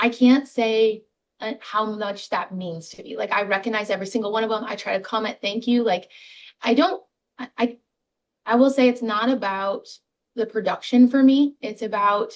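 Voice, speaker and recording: This woman's fairly high voice shows ordinary pitch variation while its loudness swings widely. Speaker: real estate agent. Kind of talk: interview. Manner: fast.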